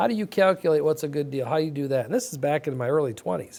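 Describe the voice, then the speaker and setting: A man with an American accent talks at a very fast pace in a fairly high pitch, his tone dark and mellow and his intonation lively. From Michigan (Flint). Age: 60s. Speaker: mortgage business owner and county commissioner. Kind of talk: interview. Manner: halting, many repetitions.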